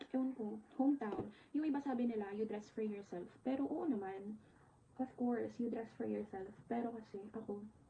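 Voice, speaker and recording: The speaker is a woman with a normal speaking voice and a fairly high pitch. She talks at a moderate pace with ordinary pitch variation. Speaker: vlogger, virtual assistant. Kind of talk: casual vlog talk to camera.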